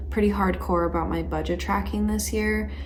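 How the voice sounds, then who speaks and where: Soft-spoken and very deep, low in pitch, a woman talks at a moderate pace with monotone, flat intonation over noticeable background noise. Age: 20s. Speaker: planning and self-improvement vlogger. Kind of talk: casual talk to camera. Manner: soft-spoken, calm, monotone.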